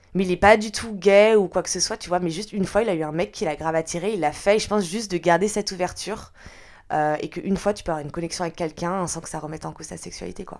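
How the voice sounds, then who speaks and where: A woman at a fairly low pitch and very fast pace, with ordinary pitch variation, big swings in loudness, and a very clean recording with a silent background. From France, Lyon area. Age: 20s. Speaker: podcast guest. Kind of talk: personal testimony interview. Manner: hesitant, many fillers.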